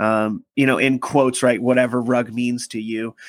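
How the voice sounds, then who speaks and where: Recorded dry and close with no echo, a man talks at a medium pitch. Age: 20s. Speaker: podcast host. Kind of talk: casual chat. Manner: animated.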